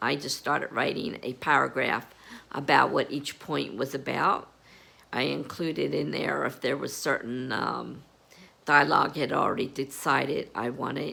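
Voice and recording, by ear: A woman puts on a character voice that is hoarse and raspy, pitched very deep and low. She talks at a moderate pace.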